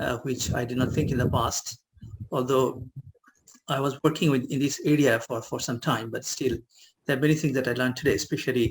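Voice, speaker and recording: A somewhat breathy man's voice of medium pitch, fairly quick, with fairly even intonation. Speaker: professor. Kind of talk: webinar talk. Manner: halting.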